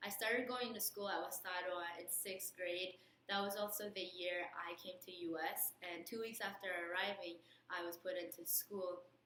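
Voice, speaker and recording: The speaker talks with a non-native accent and fairly even intonation. Noticeable background noise is present. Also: woman, medium pitch for a woman, moderate pace. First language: not English. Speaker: nursing student, alumna. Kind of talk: recorded advice talk. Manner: hesitant with fillers.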